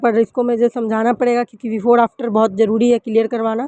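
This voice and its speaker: Woman's high voice with a dark, mellow tone, recorded dry and close with no echo. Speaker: vlogger, mother and housewife. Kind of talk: vlog voice-over. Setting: at home. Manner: halting, with pauses.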